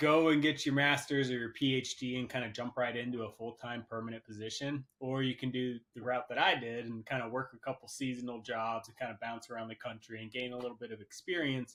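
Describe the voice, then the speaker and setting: A man's plain, everyday voice at a medium pitch, with an American accent, fairly even intonation, a fairly quick pace and hardly any pauses. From central Pennsylvania. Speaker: wildlife biologist. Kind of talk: casual podcast interview.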